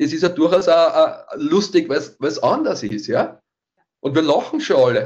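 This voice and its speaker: With lively intonation, the man talks at a fairly slow pace. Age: middle-aged. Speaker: fitness coach. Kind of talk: casual chat. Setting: online call. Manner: halting, many repetitions.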